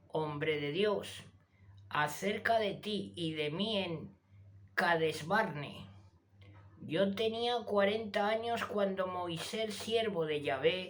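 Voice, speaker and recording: At a very slow pace, a woman speaks in a medium pitch with audible room echo. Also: ordinary pitch variation. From Spain (Zaragoza). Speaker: YouTube channel host reading scripture. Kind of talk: reading aloud.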